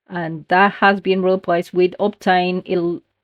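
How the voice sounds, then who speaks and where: A woman with a non-native accent, dry and close with no echo. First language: not English. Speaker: gaming youtuber. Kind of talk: gameplay commentary. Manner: halting.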